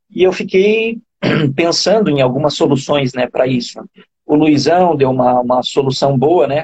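A man with a fairly high, somewhat breathy voice is heard in a dry, close recording with no echo. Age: 40s. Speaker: running coach. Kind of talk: interview. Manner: halting, frequent repetitions.

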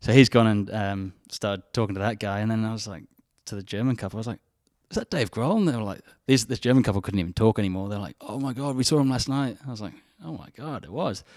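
Talking at a very fast pace with an English accent, a man at a medium pitch shows ordinary pitch variation and big swings in loudness. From England. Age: 20s. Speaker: charity volunteer. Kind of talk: casual interview.

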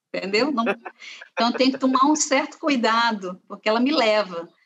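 Her intonation moves in a lively way. This woman's pitch is fairly high. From Brazil, Ceará (Fortaleza). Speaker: university professor and art curator. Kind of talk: interview conversation. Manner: hesitant, many fillers.

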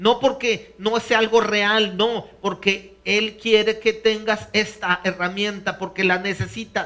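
Very slowly and in a raised, projected voice, a man speaks with high pitch and flat, monotone intonation. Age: 50s. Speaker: pastor. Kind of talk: sermon. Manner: halting.

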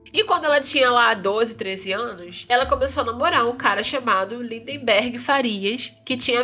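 An animated woman's voice, high in pitch, with hardly any pauses and noticeable background noise. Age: 20s. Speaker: true crime podcast host. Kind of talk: casual storytelling chat.

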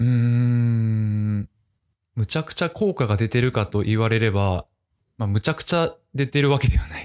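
He has a normal speaking voice at a medium pitch. This man talks at a moderate pace with ordinary pitch variation. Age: 20s. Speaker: office worker. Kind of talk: casual chat.

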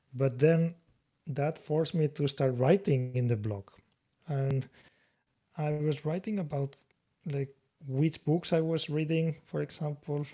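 A man with a Spanish accent speaks at a fairly high pitch in a dark, mellow, somewhat breathy tone. His pace is fairly slow, with long, frequent pauses. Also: ordinary pitch variation. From Spain, Mediterranean coast. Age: 30s. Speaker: author. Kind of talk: interview. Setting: remote call. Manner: halting.

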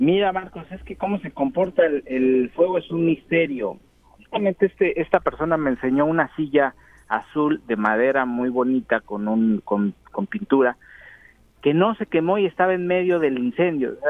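A man with a Mexican accent and a fairly high pitch talks at a moderate pace with lively intonation. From Mexico. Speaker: field reporter. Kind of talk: live remote report.

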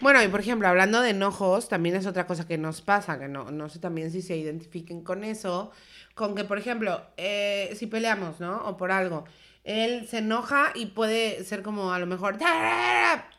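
A woman with a Mexican accent speaks at a moderate pace, her bright, sharp tone carried by lively intonation. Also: medium pitch for a woman. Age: 30s. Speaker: podcast co-host. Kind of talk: casual chat.

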